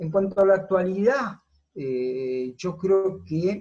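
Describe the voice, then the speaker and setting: Speaking very slowly, a man uses lively intonation in a dark, mellow tone. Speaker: football coach. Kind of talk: interview.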